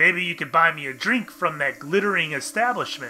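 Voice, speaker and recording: Over music in the background, a man performs a put-on character voice that is gravelly and high-pitched for a man, with lively intonation at a moderate pace. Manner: inviting.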